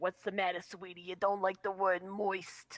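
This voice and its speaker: A female-sounding put-on character voice speaks at a medium pitch and a moderate pace. The intonation stays monotone and flat. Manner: condescending.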